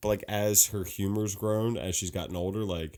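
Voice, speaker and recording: On a very clean recording with a silent background, a man speaks at a moderate pace in a dark, mellow tone with monotone, flat intonation. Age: 30s. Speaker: podcast co-host. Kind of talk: casual chat. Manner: soft-spoken.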